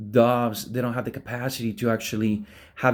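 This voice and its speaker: With an Argentine accent, a man talks in an animated tone at a moderate pace on a very clean recording with a silent background. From Argentina. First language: Spanish. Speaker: preacher. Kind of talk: sermon.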